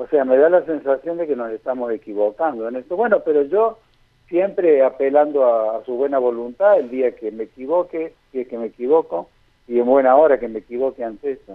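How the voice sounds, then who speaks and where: An ordinary speaking voice moves at a fairly quick pace with lively intonation and big swings in loudness. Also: man, medium pitch for a man. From Argentina, Santa Fe province. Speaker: infectious disease doctor. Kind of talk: radio interview.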